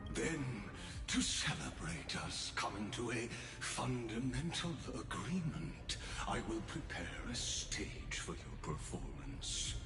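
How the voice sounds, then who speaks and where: A man's put-on character voice at a fairly slow pace, over loud background noise. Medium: game stream. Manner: grandiose, theatrical.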